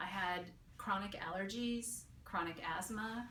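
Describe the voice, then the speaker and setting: Audible room echo surrounds a woman speaking. She has an American accent and fairly even intonation. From San Francisco, California. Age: 50s. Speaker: patient giving a testimonial. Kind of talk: testimony. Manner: casual, with hesitations and fillers.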